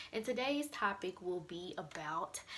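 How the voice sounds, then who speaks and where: A woman with an American accent and lively intonation, amid noticeable background noise. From Mississippi, USA. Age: 20s. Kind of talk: casual talk to camera. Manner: casual, conversational.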